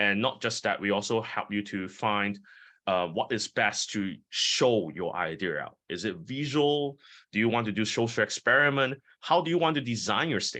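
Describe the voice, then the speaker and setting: With a bright, sharp tone and fairly low pitch, a man talks at a moderate pace with lively intonation over a quiet background. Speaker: TEDx speaker coach. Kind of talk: online workshop Q&A. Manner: expressive, uses voice powerfully.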